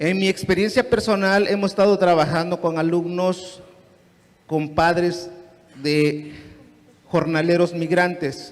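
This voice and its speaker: A man with a high pitch and a Mexican accent, a very slow pace, noticeable background noise, and audible room echo. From Guerrero, Mexico. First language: Nahuatl (speaking Spanish). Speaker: teacher asking a question. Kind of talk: audience question at a lecture. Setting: conference hall with audience.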